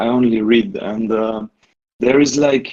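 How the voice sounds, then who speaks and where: A non-native accent with ordinary pitch variation. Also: man. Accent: non-native English, says his English is bad. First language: not English. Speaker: community member asking for advice. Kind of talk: casual group discussion. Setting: Discord voice call. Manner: halting, with many restarts and fillers.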